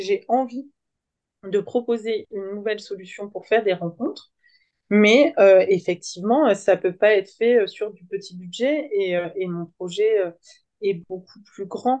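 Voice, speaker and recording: This woman has a medium pitch and a dark, mellow tone, with ordinary pitch variation. She talks at a very slow pace, and her loudness swings widely. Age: 30s. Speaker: social worker and app founder. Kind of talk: interview. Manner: animated.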